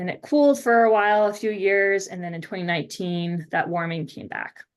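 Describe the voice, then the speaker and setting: A woman with an American accent and an ordinary speaking voice, at a moderate pace with ordinary pitch variation, over a quiet background. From Maine, US Northeast. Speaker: oceanographer lecturer. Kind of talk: lecture.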